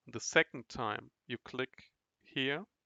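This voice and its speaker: This is a man speaking. He talks with a non-native accent. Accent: non-native English, trouble with th sound. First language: not English. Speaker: online course instructor. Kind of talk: tutorial. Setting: recorded online class with chat. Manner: halting, repeats words.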